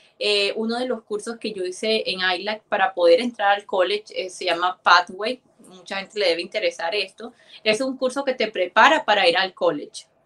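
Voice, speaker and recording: At a fairly quick pace, a woman speaks at medium pitch with ordinary pitch variation and a bright, sharp tone. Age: 20s. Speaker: immigrant guest sharing her story. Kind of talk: live interview.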